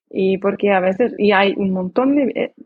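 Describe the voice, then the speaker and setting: A fairly slow pace in a non-native accent. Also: woman. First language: not Spanish (speaking Spanish). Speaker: language learner and traveler. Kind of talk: interview. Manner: halting.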